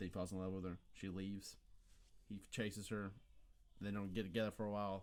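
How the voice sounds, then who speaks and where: A very fast, monotone male voice, fairly low in pitch and flat in intonation. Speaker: podcast co-host. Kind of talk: casual chat.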